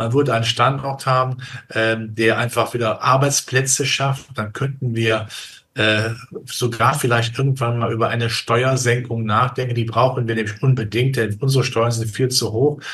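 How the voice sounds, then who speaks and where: A man speaks at a medium pitch and a moderate pace, his intonation fairly even. He uses a normal speaking voice. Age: 60s. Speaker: capital markets analyst. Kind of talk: interview.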